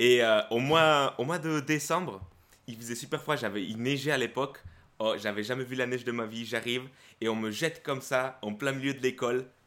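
In a Spanish accent, a man speaks at a moderate pace and medium pitch, with a bright, sharp tone and ordinary pitch variation. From Guatemala, moved to France at 12. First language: Spanish (speaking French). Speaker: YouTuber, self-confidence coach. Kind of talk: casual interview chat.

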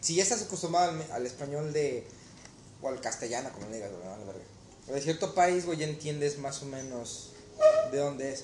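A man with a fairly high voice speaks at a moderate pace, with lively intonation, big swings in loudness and long, frequent pauses. Room echo is audible and background noise is noticeable. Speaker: cook and waiter. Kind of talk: casual chat.

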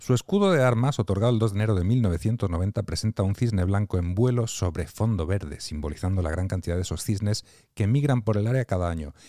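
A man speaks at a fairly quick pace with ordinary pitch variation. His tone is dark and mellow. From Catalonia, Barcelona. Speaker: podcast co-host. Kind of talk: scripted reading of a segment; casual chat.

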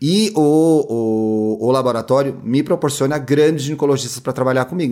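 A man talks in a normal speaking voice, fairly high in pitch, with ordinary pitch variation. The recording is very clean, with a silent background. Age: 30s. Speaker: podcaster and media consultant. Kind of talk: casual interview chat.

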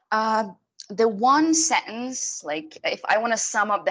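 A very slow pace with lively intonation. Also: woman. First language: Arabic. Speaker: TV host. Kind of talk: casual interview.

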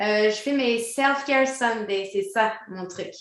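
A high-pitched woman at a very slow pace, with ordinary pitch variation and audible room echo. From Quebec. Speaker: DJ and former professional dancer. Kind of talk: interview.

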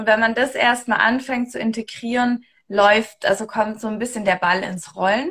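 A woman's normal speaking voice, fairly high in pitch, with fairly even intonation and a moderate pace. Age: 30s. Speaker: human design coach. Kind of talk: casual chat. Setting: Instagram live video stream.

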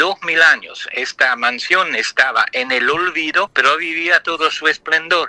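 A man speaks in an Italian accent at a fairly high pitch, with a bright, sharp tone. His pace is fairly slow with hardly any pauses, and the sound is dry and close with no echo. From Luxembourg. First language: Italian (speaking Spanish). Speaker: poet. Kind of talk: interview.

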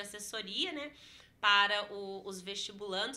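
A woman speaks with a bright, sharp tone. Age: 30s. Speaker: history teacher and culture director. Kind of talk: casual interview.

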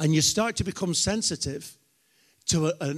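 In a very clean recording with a silent background, a man with a British accent speaks at a moderate pace with ordinary pitch variation. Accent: British, noticeable. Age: 50s. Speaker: preacher. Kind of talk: sermon. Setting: church.

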